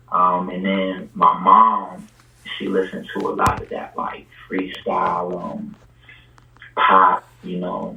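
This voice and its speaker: A man speaks at a very slow pace with long, frequent pauses. His loudness swings a lot over noticeable background noise. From Puerto Rico. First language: Spanish. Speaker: rapper. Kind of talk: casual chat. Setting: podcast interview. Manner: hesitant, many fillers.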